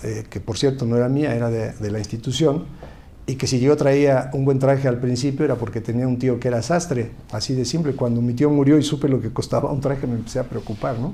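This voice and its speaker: There is audible room echo as a man with a medium pitch and a dark, mellow tone talks somewhat breathily with fairly even intonation. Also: fairly quick pace. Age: 60s. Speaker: politician, former university rector. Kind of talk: interview. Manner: halting.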